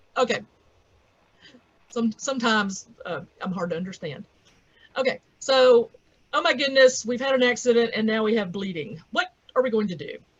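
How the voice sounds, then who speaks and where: Her intonation lively and her pitch fairly high, a woman with a Southern US accent leaves long, frequent pauses. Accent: southern drawl. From US South. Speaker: veterinarian. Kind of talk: lecture.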